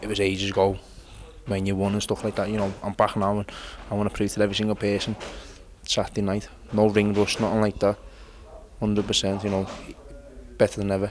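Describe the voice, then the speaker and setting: A man's fairly low, monotone voice with flat intonation, in a Liverpool accent, at a very fast pace broken by long, frequent pauses. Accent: Scouse. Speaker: mixed martial arts fighter. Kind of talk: interview answer.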